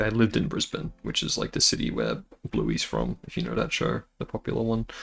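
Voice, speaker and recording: A fairly quick-talking man in an Australian accent. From northern Australia. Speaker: animator and vtuber streamer. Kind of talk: casual livestream chat while drawing. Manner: hesitant, many fillers.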